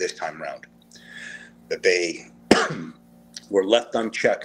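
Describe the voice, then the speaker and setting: There's noticeable background noise as a man speaks. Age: 40s. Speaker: military reservist. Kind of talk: interview answer.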